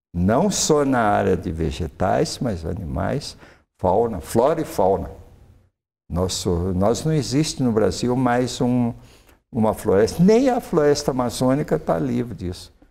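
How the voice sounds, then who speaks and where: This man talks at a fairly slow pace in a dark, mellow tone, with very wide pitch swings and vocal fry. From Minas Gerais, Triângulo Mineiro (Brazil); Minas Gerais, Brazil. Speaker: retired forestry professor; invited professor guest. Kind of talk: interview. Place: studio. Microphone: lapel.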